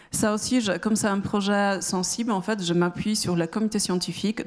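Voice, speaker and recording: In a Polish accent, a woman speaks at a moderate pace with monotone, flat intonation. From Poland. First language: Polish (speaking French). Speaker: startup founder. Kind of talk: pitch presentation. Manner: halting, many hesitations.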